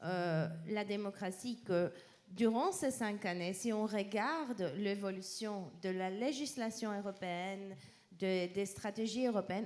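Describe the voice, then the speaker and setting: A woman talks very slowly in a medium-pitched voice whose pitch varies in an ordinary way. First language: not French (speaking French). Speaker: policy researcher presenting a peace index. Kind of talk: panel presentation. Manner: halting.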